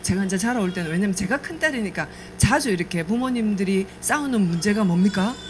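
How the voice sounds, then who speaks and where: Over noticeable background noise, a woman with a medium pitch speaks at a fairly quick pace with lively intonation. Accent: slight Gyeongsang. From South Korea, Namhae (Gyeongsang). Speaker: network marketing business speaker. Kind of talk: business presentation with life story. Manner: conversational, hesitant fillers.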